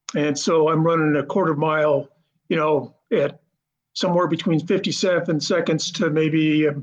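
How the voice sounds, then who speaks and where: In a plain, everyday voice, a man with a fairly high pitch talks at a moderate pace with fairly even intonation and very even loudness. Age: 50s. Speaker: masters runner. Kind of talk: interview.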